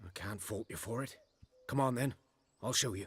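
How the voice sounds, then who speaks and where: A raspy, put-on character voice speaks at a moderate pace. Its pitch variation is ordinary. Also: man, medium pitch for a man. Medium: video game. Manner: plainspoken, rustic.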